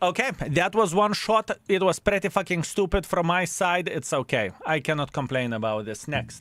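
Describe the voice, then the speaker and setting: With a Lithuanian accent, a man talks at a high pitch and a moderate pace, his pitch swinging very widely and hardly any pauses in between. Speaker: gaming streamer. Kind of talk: live-stream chat. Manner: casual, hesitant.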